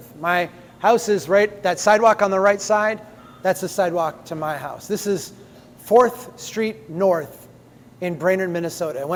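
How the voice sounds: Speaking at a fairly slow pace, a man with a high pitch uses ordinary pitch variation over noticeable background noise.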